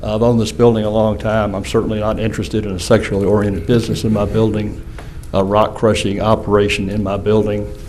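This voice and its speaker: At a very fast pace, a man with a Southern US accent speaks at a fairly low pitch. Audible room echo and noticeable background noise surround him. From Louisiana, Shreveport. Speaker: building owner, applicant. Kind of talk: public hearing testimony.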